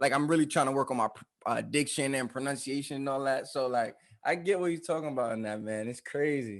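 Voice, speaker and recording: A man's fairly high voice at a very fast pace, with ordinary pitch variation against a quiet background. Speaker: podcast co-host. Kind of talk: casual chat. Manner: fast, can sound mumbled.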